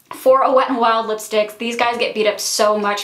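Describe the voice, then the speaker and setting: Fairly even intonation at a fairly quick pace, amid noticeable background noise and audible room echo. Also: woman. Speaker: beauty vlogger. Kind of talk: casual product review.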